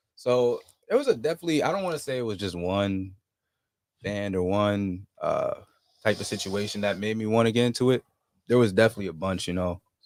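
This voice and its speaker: A plain, everyday voice, American accent and all, with ordinary pitch variation. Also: man, fairly low pitch for a man. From New Jersey. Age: 20s. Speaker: musician. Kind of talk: casual chat. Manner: laid-back, filler-heavy.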